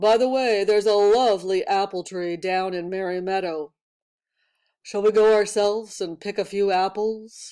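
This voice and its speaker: A put-on character voice with a fairly high pitch at a moderate pace, on a very clean recording with a silent background. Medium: read story. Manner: sly, smooth-talking.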